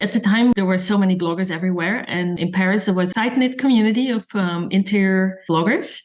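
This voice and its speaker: There is noticeable background noise as a woman of medium pitch speaks with a slight Dutch accent and ordinary pitch variation. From Netherlands. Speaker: designer and blogger. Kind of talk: podcast interview.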